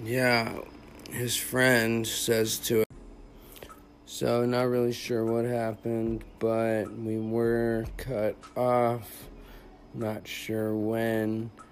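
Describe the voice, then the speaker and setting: Long, frequent pauses break up a very slow delivery, heard over noticeable background noise. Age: 30s. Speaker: podcast host discussing own addiction. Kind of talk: casual chat.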